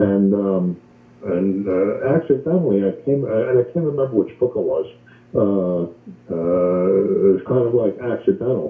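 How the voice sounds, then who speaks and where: A man speaks with a fairly low pitch. His pace is moderate and his intonation lively. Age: 60s. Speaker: caller. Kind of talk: testimony. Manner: halting, many fillers.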